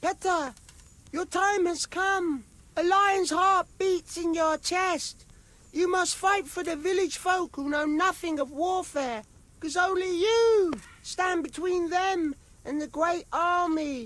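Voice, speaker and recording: A put-on character voice sounds squeaky. It moves at a fairly slow pace. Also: man, extremely high pitch for a man. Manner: solemn, proclaiming.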